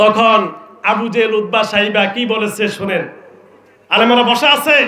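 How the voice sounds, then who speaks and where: With a quiet background and audible room echo, a man speaks in a raised, projected voice. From Bangladesh. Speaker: Islamic preacher. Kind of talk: sermon. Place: stage. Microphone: handheld.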